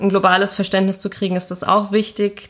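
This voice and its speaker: On a very clean recording with a silent background, a woman talks at medium pitch and a moderate pace. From Germany, Wiesbaden (Hesse). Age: 20s. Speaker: film student and photographer. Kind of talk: interview.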